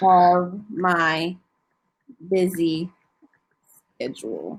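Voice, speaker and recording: A woman with an American accent speaks at a fairly low pitch, varying it in an ordinary way. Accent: slight country. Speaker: online English tutor. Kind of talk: casual tutoring chat.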